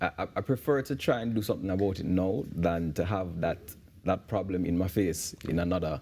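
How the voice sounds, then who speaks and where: A man with a Jamaican accent speaks at a moderate pace in a dark, mellow tone. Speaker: men's issues advocate and teacher. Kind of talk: TV interview. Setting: TV studio. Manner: halting, many repetitions.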